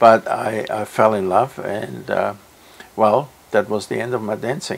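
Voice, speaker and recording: Against noticeable background noise, a man speaks fairly slowly at a fairly low pitch. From Austria. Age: 80s+. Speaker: music teacher. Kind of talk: interview answer.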